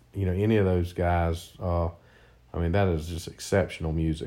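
In a South Carolina accent, the voice has a dark, mellow tone and monotone, flat intonation at a moderate pace. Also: man. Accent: Southern US (South Carolina). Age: 50s. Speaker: father of the host. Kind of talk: casual chat. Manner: halting.

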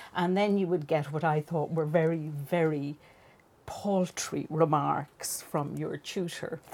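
The speaker has an Irish accent and a fairly slow pace. Intonation stays fairly even. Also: woman. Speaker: fiction writer. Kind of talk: casual chat.

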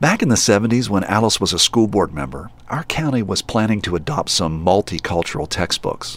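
With an American accent, a man of fairly low pitch talks at a moderate pace, his pitch swinging very widely. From West Virginia, Charleston. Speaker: podcast host. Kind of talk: narrated documentary podcast.

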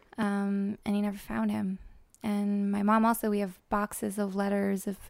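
In a New Jersey accent, a woman speaks at a medium pitch and a fairly slow pace, recorded very cleanly against a silent background. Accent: American, New Jersey. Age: 20s. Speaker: granddaughter of Holocaust survivor sharing family search. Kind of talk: interview testimony.

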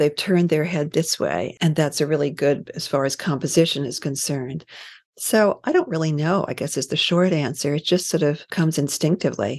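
In an American accent, a woman speaks at a moderate pace against a quiet background. Her pitch is very deep and low, with ordinary variation. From US, New York. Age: 70s. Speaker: photojournalist and author. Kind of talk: interview.

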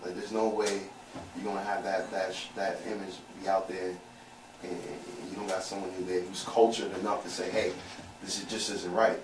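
A man with an American accent, fairly low in pitch and fairly quick, his intonation fairly even, amid audible room echo and noticeable background noise. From Brooklyn, New York (Canarsie). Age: 30s. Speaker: podcast guest. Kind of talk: casual chat. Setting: studio.

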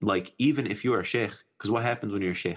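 A man speaks in an American accent with ordinary pitch variation. The background is quiet. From US Midwest. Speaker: preacher and nonprofit mental health worker. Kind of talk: casual religious discussion.

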